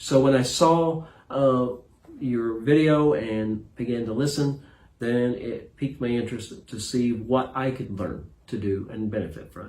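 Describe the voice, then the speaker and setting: In a room with audible echo, a man of medium pitch talks fairly slowly, with ordinary pitch variation and big swings in loudness. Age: 60s. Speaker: retired pastor, coaching client. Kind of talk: interview. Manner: halting.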